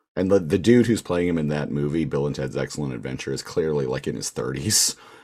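A man's very deep, low voice with vocal fry at a fairly quick pace. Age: 30s. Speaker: podcast co-host. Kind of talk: casual chat.

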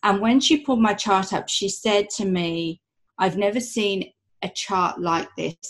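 A woman with an ordinary speaking voice talks at a fairly slow pace and medium pitch, with ordinary pitch variation. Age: 40s. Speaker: human design coach. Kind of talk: interview.

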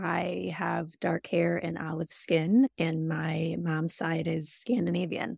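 Vocal fry marks this American-accented voice, recorded with a dry, close sound and no echo. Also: woman. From Michigan, US. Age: 30s. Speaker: donor-conceived sibling. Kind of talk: casual group interview.

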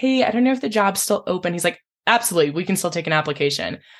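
A woman with an American accent talks at a very fast pace and medium pitch, somewhat breathy, with lively intonation over a quiet background. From US Midwest, small-town Illinois. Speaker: e-commerce manager at an outdoor retail store. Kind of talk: casual interview.

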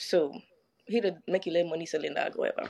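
A woman speaks with a Crucian accent. Her tone is animated. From St. Croix, US Virgin Islands. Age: 20s. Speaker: podcast guest. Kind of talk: casual storytelling.

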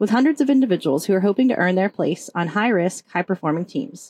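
Speaking very fast with an American accent, a woman keeps a medium pitch. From Oklahoma. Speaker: podcast host, psychologist and army veteran. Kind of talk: scripted intro.

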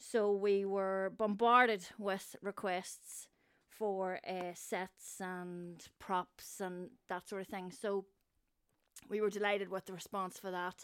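A woman speaks very slowly with a Northern Irish accent and flat, monotone intonation, recorded very cleanly against a silent background. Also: medium pitch for a woman. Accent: Northern Irish (Newry). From Northern Ireland, Newry. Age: 50s. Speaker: theatre set and props designer. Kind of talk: casual chat.

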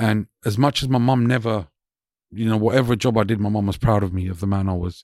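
Very fast speech in a London accent with fairly even intonation, on a very clean recording with a silent background. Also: man, fairly low pitch for a man. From West London, England. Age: 40s. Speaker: DJ and employment specialist. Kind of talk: casual chat. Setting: studio.

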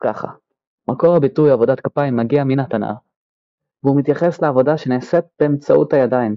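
This man's intonation is fairly even, and he keeps a moderate pace. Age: 20s. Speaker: podcast host, aircraft technician. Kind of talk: scripted podcast monologue.

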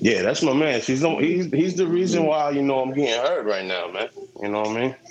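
A man speaking at a moderate pace with lively intonation, noticeable background noise behind him. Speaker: rapper, guest on review podcast.

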